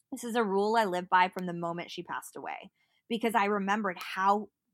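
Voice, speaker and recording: A woman's bright, sharp tone at a medium pitch, with ordinary pitch variation, a fairly quick pace and a dry, close sound with no echo. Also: very clean recording, silent background. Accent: American. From US West Coast (Berkeley, California). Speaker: digital marketer and mental health advocate. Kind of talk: casual interview.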